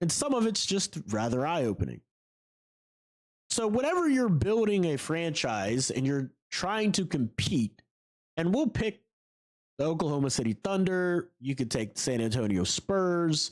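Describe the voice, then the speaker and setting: A man talks at a moderate pace with very wide pitch swings. He leaves long, frequent pauses. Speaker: basketball podcaster. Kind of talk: solo sports commentary. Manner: conversational with fillers.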